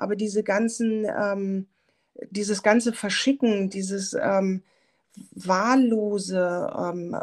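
A woman speaks at a medium pitch. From Germany, Hamburg. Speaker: software founder, former visual merchandiser. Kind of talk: casual interview. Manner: many filler sounds.

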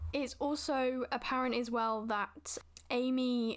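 On a very clean recording with a silent background, a woman speaks with monotone, flat intonation. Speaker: film podcast host. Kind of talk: casual solo film review. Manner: chatty, lots of fillers.

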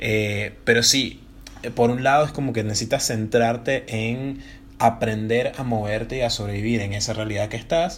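A man speaks in an unremarkable speaking voice at medium pitch. His pace is moderate and his intonation fairly even. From Venezuela. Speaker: comedian and podcast co-host. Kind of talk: casual chat.

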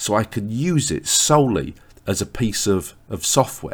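A man at medium pitch with an English accent, vocal fry, and very wide pitch swings. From England. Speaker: author and podcast host. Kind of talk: solo podcast diary. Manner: hesitant, with filler words.

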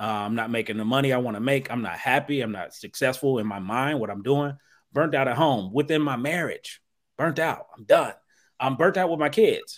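An unremarkable speaking voice from a man with an American accent, medium pitch, and ordinary pitch variation, on a very clean recording with a silent background. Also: fairly quick pace, big swings in loudness. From Ohio, US Midwest. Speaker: therapist. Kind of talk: podcast conversation.

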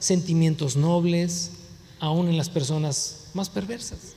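A man with a high-pitched voice talks at a very slow pace, with noticeable background noise and audible room echo. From US, Mexican heritage. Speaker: pastor. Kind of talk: sermon.

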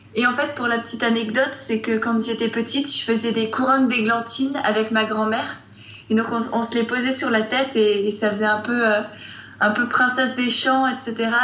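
Over noticeable background noise and audible room echo, a woman with a fairly high pitch speaks at a moderate pace in a monotone, flat intonation, her loudness very even. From Strasbourg, Alsace, France. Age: young. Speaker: blogger. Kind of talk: casual interview.

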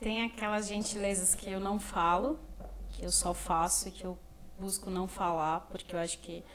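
Her pace is moderate and her intonation fairly even. The woman has medium pitch and an unremarkable speaking voice. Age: 20s. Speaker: social work student. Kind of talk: casual interview.

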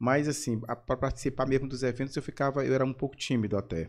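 A man speaks in a Maranhão accent with ordinary pitch variation. The recording is very clean, with a silent background. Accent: Maranhão Portuguese (Brazilian northeast). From São Luís, Maranhão, Brazil. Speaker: actor and comedian. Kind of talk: casual interview chat.

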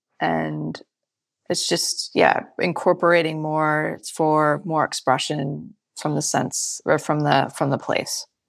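A woman with an American accent speaks at a very slow pace. The recording is very clean with a silent background. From Michigan, US Midwest. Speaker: winemaker. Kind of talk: interview.

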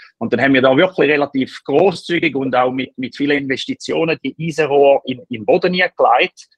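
In a normal speaking voice, the speaker moves at a fairly quick pace with ordinary pitch variation and hardly any pauses. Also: man, fairly high pitch for a man. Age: 30s. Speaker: startup founder. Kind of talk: interview. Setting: remote call. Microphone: poor audio quality.

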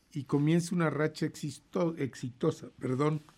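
This man has a Mexican accent and a fairly high pitch, with ordinary pitch variation. His tone is dark and mellow, and he talks at a fairly slow pace. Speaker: radio host. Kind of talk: casual chat.

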